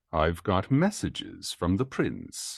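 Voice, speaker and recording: Against a quiet background, a man at a medium pitch growls through a put-on character voice at a fairly slow pace. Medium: read story.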